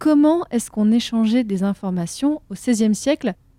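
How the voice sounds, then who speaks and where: Moderate pace and ordinary pitch variation from a woman with a fairly high voice, the sound dry and close with no echo. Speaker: history podcast host. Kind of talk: interview. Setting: recording room in Bordeaux.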